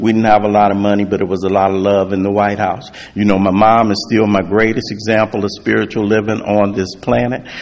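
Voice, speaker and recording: A man speaks at a fairly quick pace with hardly any pauses, his fairly low voice monotone and flat. Background noise is noticeable. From US West Coast, South Central Los Angeles. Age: 60s. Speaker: recovery speaker. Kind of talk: testimony.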